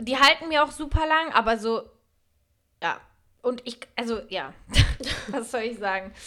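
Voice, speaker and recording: A woman at a high pitch, with lively intonation, an animated tone and a bright, sharp tone, at a fairly slow pace with long, frequent pauses. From Franconia, Germany. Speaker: podcast co-host. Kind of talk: casual chat. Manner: animated, laughing.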